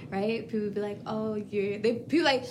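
A woman's fairly high voice with ordinary pitch variation at a fairly quick pace, over noticeable background noise. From US South, Florida (Fort Pierce). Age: 20s. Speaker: lash and brow business owner. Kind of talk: casual chat.

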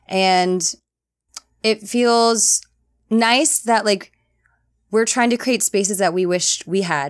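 In a normal speaking voice, a woman talks at a fairly slow pace with ordinary pitch variation, recorded very cleanly over a silent background. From US, Filipino-American family. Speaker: actor. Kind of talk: casual interview.

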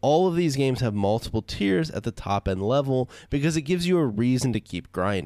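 In a normal speaking voice with a medium pitch, a man talks at a fairly quick pace with lively intonation and hardly any pauses, the sound dry and close with no echo. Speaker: podcast host. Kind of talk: casual chat. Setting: online call with guests.

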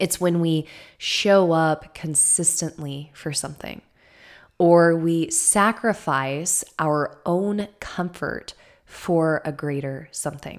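A woman's fairly low voice at a very slow pace, on a very clean recording with a silent background. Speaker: astrology podcast host. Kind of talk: solo podcast talk on astrology. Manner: enthusiastic, chatty.

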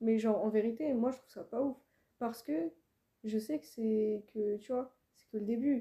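A woman speaks at a moderate pace, with long, frequent pauses. Her fairly high voice is somewhat breathy, with a dark, mellow tone. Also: ordinary pitch variation. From France, Île-de-France. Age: 20s. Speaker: rapper. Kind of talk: casual interview chat.

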